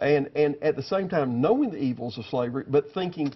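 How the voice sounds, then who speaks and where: A man's unremarkable speaking voice at a fairly quick pace, with lively intonation. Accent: American. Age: 60s. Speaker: former state senator. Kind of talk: TV news interview. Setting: TV studio.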